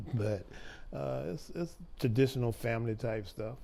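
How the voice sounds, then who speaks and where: At a fairly slow pace, a man speaks in a fairly low pitch with a dark, mellow tone. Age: 70s. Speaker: grandfather of adopted children. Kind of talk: interview. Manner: halting.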